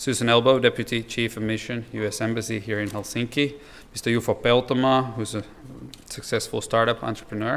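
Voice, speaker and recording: Monotone, flat intonation marks this man's medium-pitched voice. He talks at a fairly quick pace. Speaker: member of parliament, organizer. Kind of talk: formal welcome speech.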